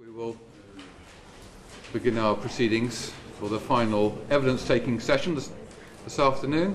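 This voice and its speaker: A man at a moderate pace with ordinary pitch variation, big swings in loudness, long and frequent pauses, audible room echo and noticeable background noise. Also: medium pitch for a man. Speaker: committee chair. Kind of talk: formal committee chairing. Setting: parliamentary committee hearing room. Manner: formal.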